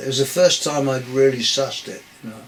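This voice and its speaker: A man speaks at a moderate pace in a medium pitch, with noticeable background noise behind him. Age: 70s. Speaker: beat poet and lyricist. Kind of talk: interview answer. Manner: hesitant, rambling.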